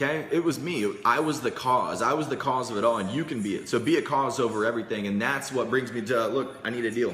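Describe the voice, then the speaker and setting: A man's medium-pitched voice in an American accent, very fast with hardly any pauses and ordinary pitch variation, amid noticeable background noise and audible room echo. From Indianapolis, US Midwest. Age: 20s. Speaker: sales coach livestreamer. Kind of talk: casual livestream sales pitch. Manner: animated.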